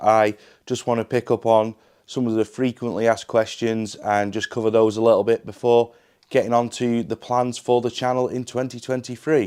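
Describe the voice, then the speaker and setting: A man's medium-pitched voice, dark and mellow in tone, moves at a fairly quick pace with fairly even intonation in a dry, close sound with no echo. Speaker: youtuber, channel owner. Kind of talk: casual vlog update.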